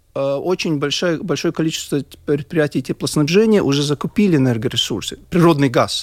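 Moderate in pace, a man's fairly high voice, a plain, everyday voice, carries lively intonation in a very clean recording with a silent background and a dry, close sound with no echo. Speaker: heating association board member. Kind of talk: radio panel discussion.

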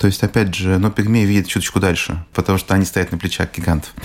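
A man speaks over noticeable background noise. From Russia. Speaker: business trainer and psychologist. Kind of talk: radio interview.

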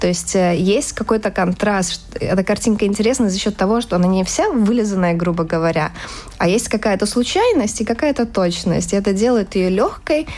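There is noticeable background noise as the speech moves at a moderate pace with ordinary pitch variation. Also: woman. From Latvia. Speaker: fashion illustrator. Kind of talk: casual interview.

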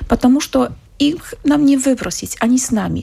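Her tone dark and mellow with a slightly husky edge and vocal fry, a woman speaks at a moderate pace with a high pitch and lively intonation.

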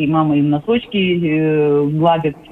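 A woman speaks over noticeable background noise. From Ukraine, Odesa. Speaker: psychological counselor. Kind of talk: radio interview. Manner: hesitant, many fillers.

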